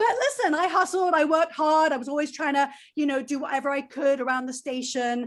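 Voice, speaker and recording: A woman talks in a high pitch with an energetic tone. Her pace is fairly quick and her pitch variation is ordinary. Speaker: former college radio DJ, music marketer. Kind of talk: panel discussion.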